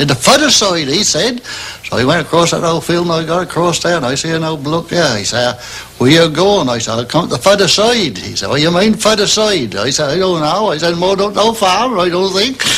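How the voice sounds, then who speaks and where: Over noticeable background noise, a man with a Norfolk accent talks at a fairly quick pace in a high voice with lively intonation. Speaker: wheelwright. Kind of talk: casual anecdote.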